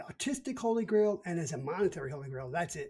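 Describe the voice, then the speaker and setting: In a Brooklyn accent, a man speaks at a fairly quick pace with a high pitch and a dark, mellow tone. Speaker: podcast co-host. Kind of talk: casual chat.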